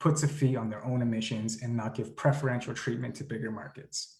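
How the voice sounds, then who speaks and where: Somewhat breathy, a man speaks at a medium pitch. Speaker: climate advocacy group leader. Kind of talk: presentation. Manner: fast.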